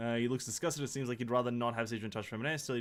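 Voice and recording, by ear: Here the text is read aloud in a natural voice.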